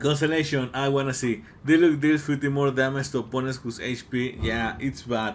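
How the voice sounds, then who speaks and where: The speaker has a Mexican accent and talks at a moderate pace. The intonation stays fairly even. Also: man. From Mexico. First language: Spanish. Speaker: gaming YouTuber. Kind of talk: casual game commentary video. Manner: hesitant, many fillers.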